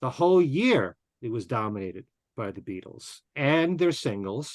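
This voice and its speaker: A man's plain, everyday voice with lively intonation, at a moderate pace, in a dry, close sound with no echo. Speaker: radio host, interviewer. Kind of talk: podcast interview questions.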